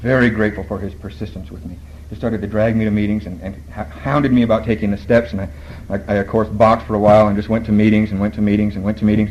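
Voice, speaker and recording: A man with a fairly low pitch talks very fast in a somewhat breathy voice, with ordinary pitch variation. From Borneo. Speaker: AA speaker. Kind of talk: recovery talk.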